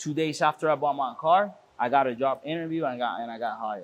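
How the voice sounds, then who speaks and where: In a Spanish accent, a man talks at a fairly quick pace with ordinary pitch variation on a very clean recording with a silent background. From Puerto Rico. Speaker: car shop owner. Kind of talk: casual interview. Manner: halting with frequent repetitions.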